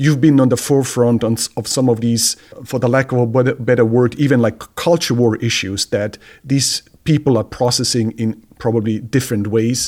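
A man with a plain, everyday voice speaks at a medium pitch and a moderate pace, his intonation fairly even. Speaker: theology professor and co-host. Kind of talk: casual conversation.

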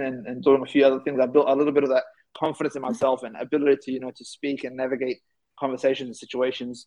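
A man talks at a very fast pace. He speaks in an Australian accent. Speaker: youth advocate and keynote speaker. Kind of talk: interview.

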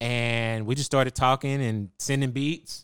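In a normal speaking voice, a man of medium pitch talks with fairly even intonation in an American accent. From Texas, Waco. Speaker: music producer. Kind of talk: casual interview. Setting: studio.

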